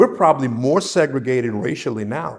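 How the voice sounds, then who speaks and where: He speaks with a New Orleans accent. His voice is a man's, at medium pitch. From New Orleans, Seventh Ward. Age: 70s. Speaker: interviewee sharing memories. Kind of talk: oral history interview.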